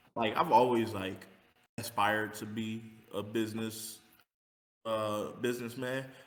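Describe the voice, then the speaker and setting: At a fairly slow pace with long, frequent pauses, a man speaks at a medium pitch in a monotone, flat intonation, and audible room echo surrounds him. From California. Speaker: rapper. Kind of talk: interview. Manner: halting.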